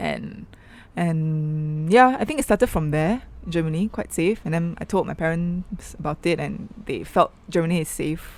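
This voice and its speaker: With a Malaysian accent, a woman speaks at a moderate pace in a fairly low pitch, using ordinary pitch variation. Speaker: artist and activist. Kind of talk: interview. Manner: soft-spoken.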